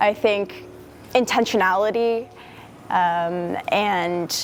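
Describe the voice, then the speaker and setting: This woman has a normal speaking voice at a medium pitch, with ordinary pitch variation. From US Northeast, near Boston. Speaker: university student. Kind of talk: interview testimony.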